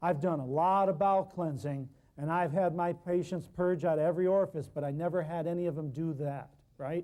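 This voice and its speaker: A man with a dark, mellow tone and a high pitch speaks loudly at a fairly quick pace on a very clean recording with a silent background. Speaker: natural healing herbalist lecturer. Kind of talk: public talk. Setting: live public appearance. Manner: animated.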